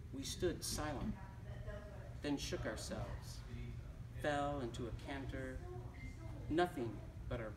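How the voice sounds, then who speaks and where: Over noticeable background noise, a man with an American accent talks at a fairly slow pace with long, frequent pauses. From Detroit area, Michigan. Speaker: poet reading his work. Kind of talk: poetry reading. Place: shop. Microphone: camera far.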